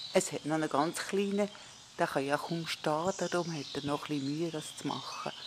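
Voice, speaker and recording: The speaker has a Swiss German accent. The pace is fairly quick. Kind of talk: casual nature film commentary.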